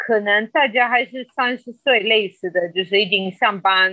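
A woman with a Spanish accent talks at a fairly slow pace in a fairly high pitch. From Colombia. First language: Spanish (speaking Chinese). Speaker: podcast guest. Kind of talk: casual interview chat. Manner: halting, many filler sounds.

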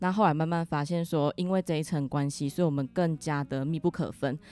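A woman's very deep, low voice with fairly even intonation, music playing behind. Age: 20s. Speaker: insurance agent. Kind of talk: interview; closing message.

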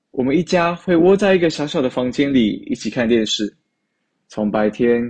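In a normal speaking voice, a man delivers his words at a moderate speed. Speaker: university student, storyteller. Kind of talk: recorded personal storytelling.

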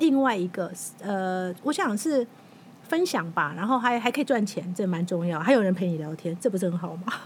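A somewhat breathy woman's voice, lively in intonation, at a moderate pace. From Taiwan, Taipei. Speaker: magazine editor-in-chief and author. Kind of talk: interview.

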